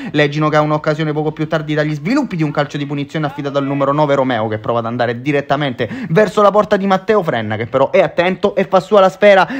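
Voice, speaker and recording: Speaking at a very fast pace, a man uses lively intonation. His pitch is fairly high. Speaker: football commentator. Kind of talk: live football match commentary, voiced over highlight footage. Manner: upbeat, energetic and fairly formal broadcast tone.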